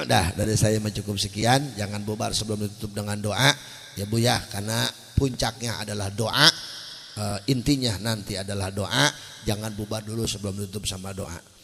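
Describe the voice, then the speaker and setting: Noticeable background noise accompanies a man's fairly low-pitched voice. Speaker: Islamic preacher. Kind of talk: sermon. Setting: stage with audience. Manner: animated.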